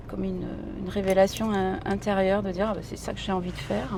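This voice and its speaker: Her voice carries audible room echo. This woman is heard over noticeable background noise. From Italy (Sicilian parents, raised in Italy). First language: Italian (speaking French). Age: middle-aged. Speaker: singer-songwriter and actress. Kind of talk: casual interview. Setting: in a car driving through the city. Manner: chatty, hesitant with many fillers.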